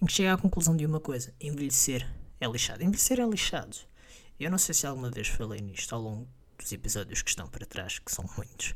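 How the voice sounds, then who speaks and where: Someone talks at a very fast pace in a European Portuguese accent. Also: very clean recording, silent background. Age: 20s. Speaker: podcast host. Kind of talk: casual monologue.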